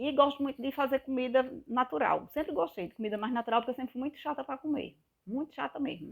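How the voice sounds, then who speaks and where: Talking at a very fast pace, a woman's loudness swings widely. Her high-pitched voice shows ordinary pitch variation. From Northeast Brazil, Pernambuco. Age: 50s. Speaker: health vlogger. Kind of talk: casual vlog monologue. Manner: animated.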